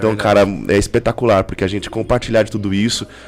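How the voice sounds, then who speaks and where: Speaking very fast, a man delivers his words in a fairly low, monotone, flat voice. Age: 40s. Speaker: podcast host. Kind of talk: casual chat.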